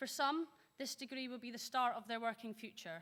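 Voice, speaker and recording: Speaking at a fairly quick pace, a woman with a high voice and a bright, sharp tone keeps her intonation fairly even. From northern Scotland. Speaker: graduating student speaker. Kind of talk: graduation speech. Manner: formal.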